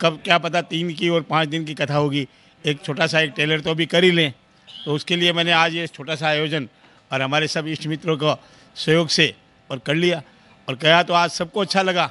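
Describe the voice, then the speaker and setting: His tone bright and sharp, a man talks at a high pitch with fairly even intonation. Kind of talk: interview answer. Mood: appreciative, earnest. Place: hall. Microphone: handheld.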